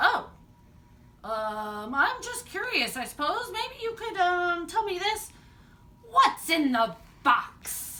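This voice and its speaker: A woman puts on a growling character voice at an extremely high pitch, with very wide pitch swings. She goes at a very slow pace with long, frequent pauses. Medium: read story.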